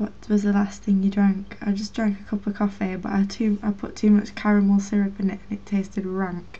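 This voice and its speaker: With a Lancashire accent, the speaker talks at a fairly quick pace with hardly any pauses and a monotone, flat intonation over noticeable background noise. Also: woman, medium pitch for a woman. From Northern England. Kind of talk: casual talk to camera.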